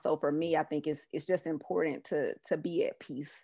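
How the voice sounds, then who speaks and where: A woman with a slight Southern US accent at a moderate pace, dry and close with no echo, against a quiet background. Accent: Southern US, slight twang. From US South, Mississippi (Jackson). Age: 30s. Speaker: public health professional. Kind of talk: interview conversation.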